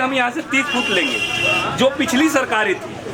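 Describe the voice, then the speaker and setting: A raised, projected voice with ordinary pitch variation carries over crowd noise, with audible room echo. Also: man. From Delhi, India. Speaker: local resident protester. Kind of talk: street interview. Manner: animated.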